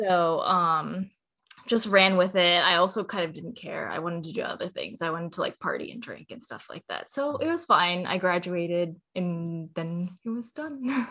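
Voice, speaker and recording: A woman with a Californian accent, bright and sharp in tone, with big swings in loudness. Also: medium pitch for a woman, ordinary pitch variation, moderate pace. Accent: General American (Californian). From Southern California (Cerritos). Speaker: food startup co-founder. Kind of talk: interview.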